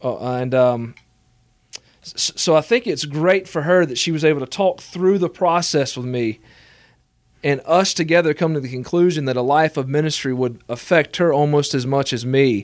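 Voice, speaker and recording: Here is an unremarkable speaking voice, a man's, fairly high in pitch with ordinary pitch variation. He goes at a moderate pace against a quiet background. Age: 20s. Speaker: assistant pastor. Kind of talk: interview.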